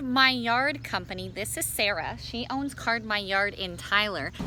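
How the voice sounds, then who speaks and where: Noticeable background noise behind a woman's fairly high voice at a fairly slow pace. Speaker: sports broadcaster, reporter. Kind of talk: on-location local news stand-up to camera.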